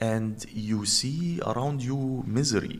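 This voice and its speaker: A man with an Arabic accent, ordinary pitch variation and audible room echo. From Egypt, Cairo. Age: 40s. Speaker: journalist and activist. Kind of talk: interview.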